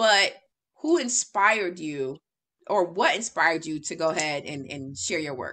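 The tone is bright and sharp, and the pace is fairly slow. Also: woman. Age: 30s. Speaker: podcast host and writing coach. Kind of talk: casual interview. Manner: animated. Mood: warm, smiling, encouraging. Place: home room. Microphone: video call.

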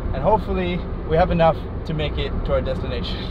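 Over noticeable background noise, a man talks at a very fast pace in a dry recording with no echo. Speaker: travel vlogger driving. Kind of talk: casual vlog chat. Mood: amused, exasperated. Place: car.

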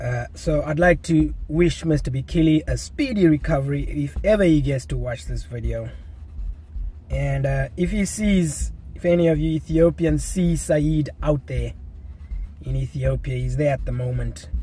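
The man talks at a moderate pace, and the sound is dry with no echo. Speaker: running vlogger. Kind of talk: casual vlog chat. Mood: relaxed, playful. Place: car. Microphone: phone near.

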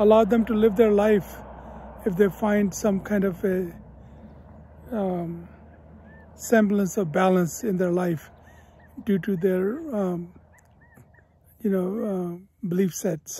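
A man's high voice at a very slow pace, with fairly even intonation, long, frequent pauses and a dry sound with no echo. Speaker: educator vlogger. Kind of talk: reflective vlog talk. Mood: calm, reflective. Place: open country. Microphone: phone near.

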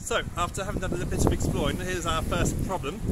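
Delivered at a very fast pace, the dry, echo-free speech competes with loud background noise. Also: man. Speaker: travel vlogger. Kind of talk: casual vlog chat. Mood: cheerful, laughing. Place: street. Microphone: phone near.

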